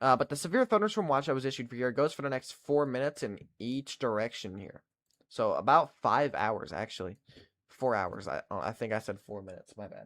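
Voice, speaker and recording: With a Kentucky accent, a man at medium pitch talks at a fairly quick pace with lively intonation and big swings in loudness, in a very clean recording with a silent background and a dry, close sound with no echo. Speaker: weather livestreamer. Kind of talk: live weather coverage with chat. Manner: casual, chatty.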